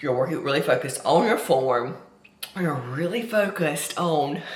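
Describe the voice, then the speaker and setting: A woman speaks loudly and at a fairly slow pace. Noticeable background noise and audible room echo fill the recording. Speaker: fitness coach. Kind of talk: vlog tutorial. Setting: at home. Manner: casual, chatty.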